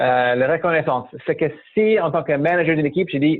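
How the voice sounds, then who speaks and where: The speaker is a man. He has an American accent. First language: English (speaking French). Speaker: startup founder and management mentor. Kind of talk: interview. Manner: hesitant, many fillers.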